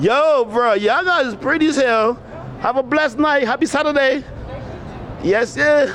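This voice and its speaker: A man with a West African accent speaks at a moderate pace in an extremely high pitch, his tone animated and his pitch varying in an ordinary way, with long, frequent pauses and crowd noise in the background. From Liberia. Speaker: vlogger. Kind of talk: casual chat. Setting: outdoors.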